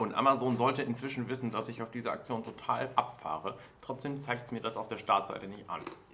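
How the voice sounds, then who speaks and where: Very fast speech runs along with fairly even intonation. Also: man, medium pitch for a man. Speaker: podcast host. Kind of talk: casual chat. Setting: office during lunch break.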